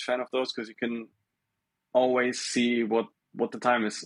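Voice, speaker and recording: A man speaks with a German accent. The background is quiet. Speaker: smartwatch maker. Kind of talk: casual chat. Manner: halting, with many repetitions.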